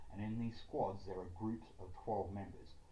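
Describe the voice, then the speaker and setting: In an Australian accent, a man with a fairly low pitch speaks in a somewhat breathy voice with ordinary pitch variation. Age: 30s. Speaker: writer, game developer. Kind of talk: reading out a self-written political plan.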